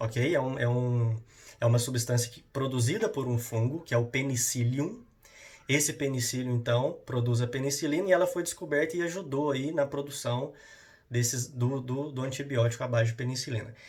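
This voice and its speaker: A man's somewhat breathy voice at a medium pitch comes through with audible room echo. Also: ordinary pitch variation. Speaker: school science teacher. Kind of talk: lecture. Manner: fast; halting.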